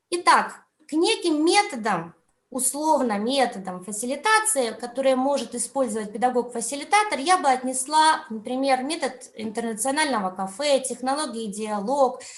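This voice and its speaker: With audible room echo, a woman speaks at a high pitch using very wide pitch swings. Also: moderate pace. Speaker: education conference speaker, teacher trainer. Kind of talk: online conference talk. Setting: video call.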